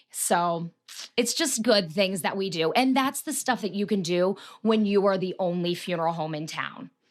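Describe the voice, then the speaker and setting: A woman at medium pitch with an American accent, moderate in pace and lively in intonation. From Marion, Ohio. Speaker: funeral director. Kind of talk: interview answer.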